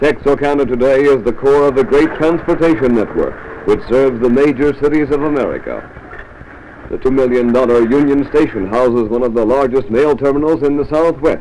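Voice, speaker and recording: Over noticeable background noise, the speech moves at a fairly quick pace with fairly even intonation and very even loudness. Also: man, fairly high pitch for a man. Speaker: newsreel narrator. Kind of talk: mid-1950s promotional newsreel narration. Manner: authoritative, formal.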